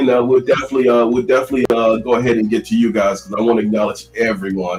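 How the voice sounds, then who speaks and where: An American-accented man speaks at a very fast pace in a medium pitch. There is noticeable background noise. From Chicago South Side. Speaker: talk show host. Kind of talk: live talk show.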